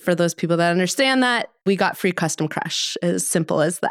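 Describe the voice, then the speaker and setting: With an American accent and an ordinary speaking voice, a woman talks at a moderate pace in a fairly low pitch, on a very clean recording with a silent background. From Colorado, US (suburbs south of Denver). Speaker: winemaker. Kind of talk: casual chat.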